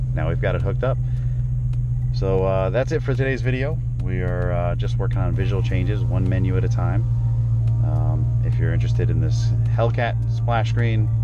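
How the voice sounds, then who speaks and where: A man talks at a moderate pace with long, frequent pauses. The sound is dry with no echo, set against loud background noise. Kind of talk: tutorial. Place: car.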